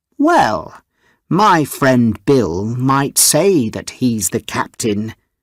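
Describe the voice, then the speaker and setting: A man does a put-on character voice at medium pitch and a very slow pace. The recording is very clean, with a silent background. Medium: read story.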